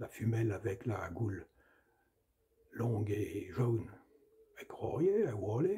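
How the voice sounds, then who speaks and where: This man's medium-pitched voice has a dark, mellow tone and is somewhat breathy, moving at a very slow pace with long, frequent pauses and big swings in loudness. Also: ordinary pitch variation. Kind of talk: storytelling, folk tale narration.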